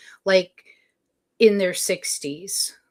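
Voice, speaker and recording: Recorded very cleanly against a silent background, a woman speaks at medium pitch. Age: 60s. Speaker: tarot reader. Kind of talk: live stream tarot reading. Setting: live stream. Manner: hesitant, many fillers.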